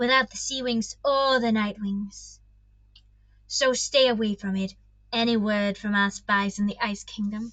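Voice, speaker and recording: Putting on a hissing character voice, a woman talks at a moderate pace with a fairly high pitch. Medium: read story. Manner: cold, hissing.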